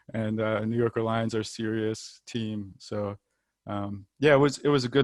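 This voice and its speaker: Spoken with an American accent, the clip is a very clean recording with a silent background. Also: man. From Washington DC area, US. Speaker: American football player. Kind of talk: casual chat. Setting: podcast. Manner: hesitant, many fillers.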